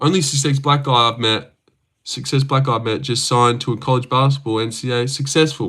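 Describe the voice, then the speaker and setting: With an Australian accent, a man of medium pitch speaks at a fairly quick pace with fairly even intonation. His tone is bright and sharp on a very clean recording with a silent background. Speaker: livestreamer reading chat, MMA fan. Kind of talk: casual livestream chat. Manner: casual, rambling.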